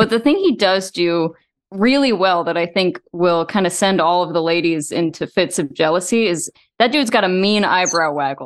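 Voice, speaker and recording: A normal speaking voice with an American accent talks at a moderate pace. Pitch varies in an ordinary way, and the background is quiet. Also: woman, medium pitch for a woman. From Texas. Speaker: video game historian. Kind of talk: casual chat.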